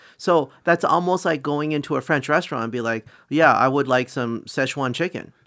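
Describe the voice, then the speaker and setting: On a very clean recording with a silent background, a man speaks at a fairly quick pace. His tone is bright and sharp, his pitch fairly high with ordinary variation. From Chinese heritage. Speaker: podcast co-host. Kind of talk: casual chat. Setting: studio.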